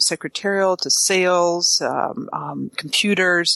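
The bright, sharp voice comes through dry and close with no echo, against a quiet background. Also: woman. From Canada. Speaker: social media marketing expert. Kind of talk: casual interview.

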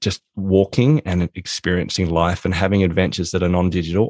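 A man speaks at a moderate pace in a very deep, low pitch, with fairly even intonation. The sound is dry and close with no echo, over a quiet background. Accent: Australian. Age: 40s. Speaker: author and productivity consultant. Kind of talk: interview.

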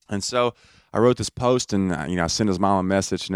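A man with a very deep, low voice speaks at a very fast pace in a Southern US accent, his intonation fairly even. The recording is very clean and dry, close with no echo, over a silent background. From Alabama, US South. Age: 20s. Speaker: comedian. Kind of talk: casual chat.

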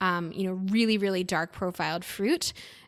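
A woman with an American accent and a medium pitch speaks at a fairly quick pace in a bright, sharp tone with fairly even intonation, on a very clean recording with a silent background. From US. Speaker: sommelier and wine content creator. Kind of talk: casual interview chat.

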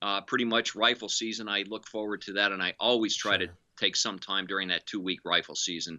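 A man with an unremarkable speaking voice talks fairly quickly at a fairly low pitch, his intonation fairly even and his pauses few. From northeastern Pennsylvania. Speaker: meteorologist. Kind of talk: interview. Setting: video call.

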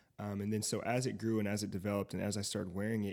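In an American accent, the speaker talks very fast in a flat monotone. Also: man. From US South, Fayetteville, North Carolina. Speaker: tech entrepreneur and DJ. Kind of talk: casual chat.

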